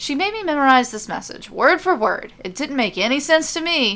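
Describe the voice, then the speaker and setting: Using a put-on character voice, a woman pitched high makes very wide pitch swings. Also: moderate pace. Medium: read story.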